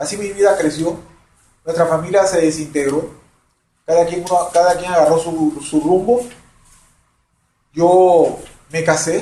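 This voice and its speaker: Using a dark, mellow tone and a high pitch, a man talks at a fairly slow pace with fairly even intonation and long, frequent pauses. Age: 60s. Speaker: retired banker. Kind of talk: testimony.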